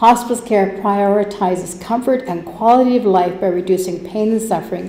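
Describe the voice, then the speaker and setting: The speaker talks at a moderate pace with a Canadian accent and ordinary pitch variation. The recording has audible room echo and noticeable background noise. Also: woman. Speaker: hospice society volunteer. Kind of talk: presentation to council. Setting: council chamber. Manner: loud.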